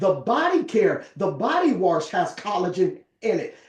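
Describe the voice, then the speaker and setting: Animated in tone, a man talks at a fairly slow pace with very wide pitch swings. Noticeable background noise sits behind him. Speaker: network marketing presenter. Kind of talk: sales pitch.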